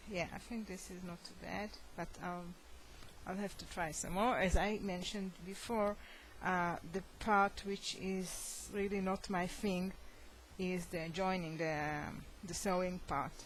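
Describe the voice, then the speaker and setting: A woman with a non-native accent, fairly slow and flat in a monotone, with audible room echo. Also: medium pitch for a woman. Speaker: crochet hobbyist. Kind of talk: casual show-and-tell tutorial. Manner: halting, many fillers.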